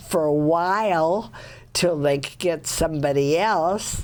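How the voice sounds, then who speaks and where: A woman's very deep, low voice with an American accent and ordinary pitch variation. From US Pacific Northwest, Seattle. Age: 90s. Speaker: retired artist and community resident. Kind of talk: interview.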